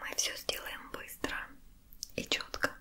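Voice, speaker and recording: A soft-spoken woman whispers at a very slow pace. Light background noise is present. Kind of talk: soft-spoken roleplay. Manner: soft, intimate ASMR near-whisper.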